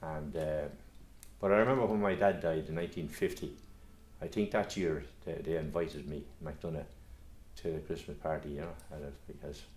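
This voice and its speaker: A man with a Kildare Irish accent and a very deep, low pitch, fairly quick pace, long, frequent pauses, vocal fry, big swings in loudness, ordinary pitch variation and audible room echo. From Ireland, Curragh Camp, Co Kildare. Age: 70s. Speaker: local historian. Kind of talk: reminiscence interview. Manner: halting, many repetitions and fillers.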